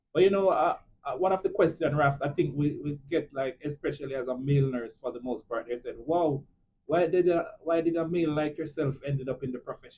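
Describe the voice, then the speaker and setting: A man speaks in a strong Jamaican accent at a fairly quick pace. His pitch is fairly high, with ordinary variation. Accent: thick Jamaican. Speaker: nurse, podcast host. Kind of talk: casual chat.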